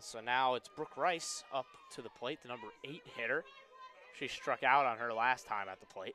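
With a normal speaking voice, this man keeps a moderate pace, a medium pitch and ordinary pitch variation. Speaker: play-by-play announcer. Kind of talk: live sports commentary, play-by-play. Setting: stadium broadcast booth.

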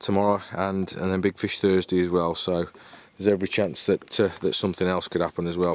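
The sound is dry, with no echo. Delivery is at a moderate pace with fairly even intonation. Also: man. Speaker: carp angler vlogger. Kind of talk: casual vlog chat. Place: waterside. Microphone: phone near.

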